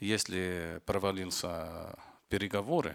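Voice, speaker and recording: In a very clean recording against a silent background, a man is speaking. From Lebanon. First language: Arabic (speaking Russian). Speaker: film director and war correspondent. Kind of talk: panel discussion.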